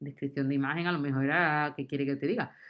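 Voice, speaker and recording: Against a quiet background, a woman with a strong Andalusian accent speaks at a very deep, low pitch. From Andalusia, Spain. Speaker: university lecturer in Arabic. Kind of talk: round-table discussion. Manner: animated.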